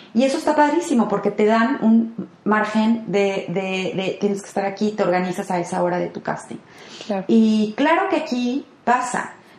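Against noticeable background noise, a woman speaks at a moderate pace with a fairly high pitch and lively intonation. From Mexico, Guadalajara (Jalisco). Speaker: actress. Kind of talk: interview.

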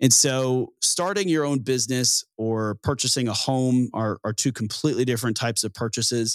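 This man has a medium-pitched, ordinary speaking voice with ordinary pitch variation, delivered at a moderate pace. The recording is very clean and dry, close-miked with a silent background and no echo. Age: 20s. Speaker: podcast host. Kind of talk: solo podcast commentary.

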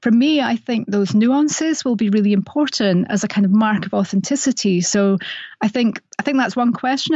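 With a slight Scottish accent, a woman with a fairly high pitch and a somewhat breathy voice talks at a moderate pace with ordinary pitch variation. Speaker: playwright and radio dramatist. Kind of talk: interview.

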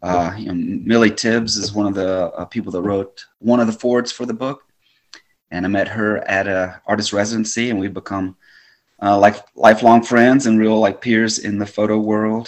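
An ordinary speaking voice with an American accent, fairly even intonation, at a moderate pace. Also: man, fairly low pitch for a man. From US South, Birmingham, Alabama. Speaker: photographer and artist. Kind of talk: interview conversation.

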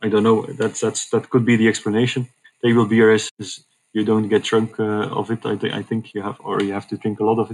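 This man has a Dutch accent and a medium pitch. He talks at a fairly quick pace with monotone, flat intonation. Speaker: hospital communications manager. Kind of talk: interview.

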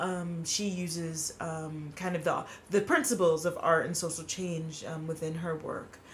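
Pitched fairly low, a woman speaks at a moderate pace. Her voice carries audible room echo and noticeable background noise. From New York City (Queens). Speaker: filmmaker and theater artist. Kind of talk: casual chat.

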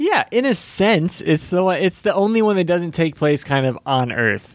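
A man with a normal speaking voice talks fairly quickly with lively intonation. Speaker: podcast co-host. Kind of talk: casual chat.

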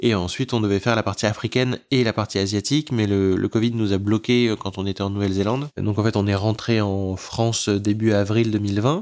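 In a plain, everyday voice, a man speaks at a fairly low pitch with fairly even intonation and hardly any pauses. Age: 30s. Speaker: terror attack survivor, author. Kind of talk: testimony.

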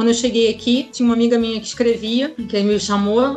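There is noticeable background noise in this clip. A woman speaks at a fairly high pitch. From Rio de Janeiro, Brazil. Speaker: chemical engineer living abroad. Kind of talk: interview.

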